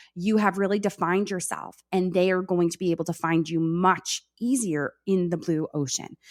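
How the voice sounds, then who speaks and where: A woman speaks with an American accent in a fairly low voice. The recording is very clean, with a silent background. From New York. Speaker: content strategist, former teacher. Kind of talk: podcast interview. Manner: fast.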